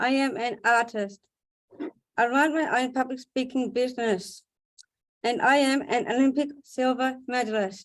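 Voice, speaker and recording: With long, frequent pauses, a woman talks at a fairly slow pace in a high pitch. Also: fairly even intonation. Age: 40s. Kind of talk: prepared speech. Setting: video webinar.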